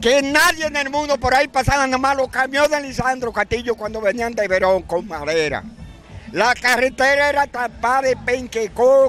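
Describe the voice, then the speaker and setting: Over faint music in the background, a man with an extremely high pitch and ordinary pitch variation speaks in a dry sound with no echo. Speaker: interviewee. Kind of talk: interview answer. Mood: indignant, defending public beach. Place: street. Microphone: handheld.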